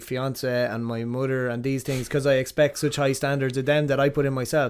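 Hardly pausing, a man talks at a fairly quick pace in an Irish Midlands accent with monotone, flat intonation. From Ireland, Athlone. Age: 30s. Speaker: martial arts coach and gym owner. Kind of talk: casual chat. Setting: in-person recording.

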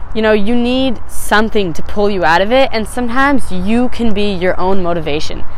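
A woman with an American accent speaks at a fairly quick pace in a fairly high voice, her intonation lively and some room echo audible. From Phoenix, Arizona. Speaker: podcast host. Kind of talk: casual solo monologue. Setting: outdoors on a rooftop.

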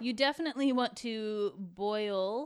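Ordinary pitch variation and a plain, everyday voice come through in a very clean recording with a silent background. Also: woman. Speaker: cooking show co-host. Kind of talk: casual cooking tutorial.

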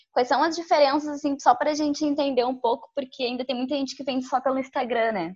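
A woman talks at a very fast pace with hardly any pauses, her high pitch showing ordinary variation. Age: 20s. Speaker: journalist, co-host. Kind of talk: casual interview.

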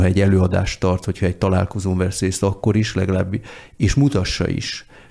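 A man speaks at a moderate pace with a fairly low pitch and a dark, mellow tone. His intonation is monotone and flat. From born and raised largely abroad. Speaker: diplomat. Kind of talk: casual chat.

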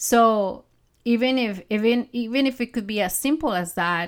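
In a very clean recording with a silent background, a woman speaks at a fairly slow pace with a non-native accent. Her tone is animated, her pitch fairly high with ordinary variation. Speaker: podcast host and mindset coach. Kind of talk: solo podcast monologue, conversational. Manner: animated, laughs often.

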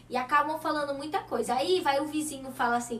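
Over noticeable background noise, a woman speaks at a fairly quick pace with a high pitch, an animated tone and lively intonation. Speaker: TV show host. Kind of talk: talk show interview.

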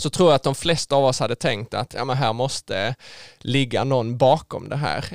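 On a very clean recording with a silent background and a dry, close sound with no echo, a man speaks at medium pitch with vocal fry, ordinary pitch variation and a moderate pace. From southern Sweden (Skåne), rural. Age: 20s. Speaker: engineering student. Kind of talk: faith testimony interview. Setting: studio.

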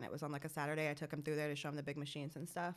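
A woman talks with a Georgia accent. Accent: Southern US, Georgia. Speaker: guest, cannabis industry worker. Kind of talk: casual chat.

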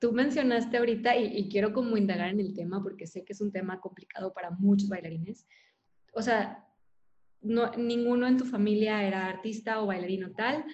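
A woman speaks at a fairly quick pace in a medium pitch, somewhat breathy. Her intonation stays fairly even. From Monterrey, Mexico. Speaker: podcast host. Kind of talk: interview conversation.

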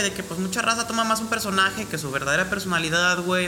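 Over noticeable background noise and audible room echo, a man with a high pitch talks at a very fast pace with ordinary pitch variation. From Mexico. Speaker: rapper. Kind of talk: casual chat.

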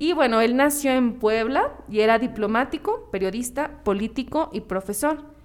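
A woman with a Mexican accent speaks at a high pitch. Her moderate pace carries ordinary pitch variation. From Mexico. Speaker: podcast co-host. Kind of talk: casual chat; reading aloud.

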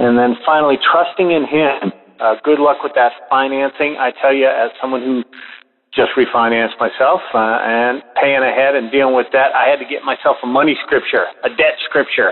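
This man has a fairly high pitch and an American accent, talking at a moderate pace. Noticeable background noise runs behind him. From US South. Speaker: caller. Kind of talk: encouragement call. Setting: phone call. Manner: animated.

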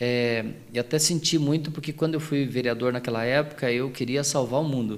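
Here a man speaks at a moderate pace. He has a plain, everyday voice. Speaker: singer and former city councillor. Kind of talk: casual interview.

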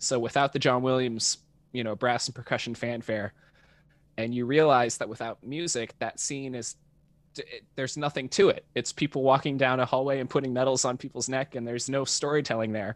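A man speaks in an ordinary speaking voice with an American accent, at a medium pitch and a fairly quick pace, his intonation fairly even. The recording is very clean with a silent background, and the sound is dry and close with no echo. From North Texas, Dallas-Fort Worth suburbs. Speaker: film composer. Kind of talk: interview conversation.

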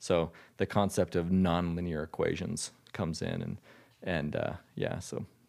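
On a very clean recording with a silent background, a man with an American accent speaks at a fairly slow pace in a very deep, low pitch, his intonation monotone and flat. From Utah. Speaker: hedge fund manager. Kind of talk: interview. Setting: in person at guest's home state.

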